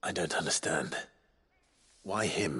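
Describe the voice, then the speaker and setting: A raspy put-on character voice from a man, fairly low in pitch. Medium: video game.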